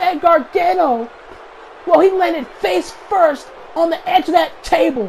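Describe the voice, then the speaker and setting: The speech comes at a fairly slow pace, with noticeable background noise behind it. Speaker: video game commentator. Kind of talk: live commentary. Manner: animated; stuttering.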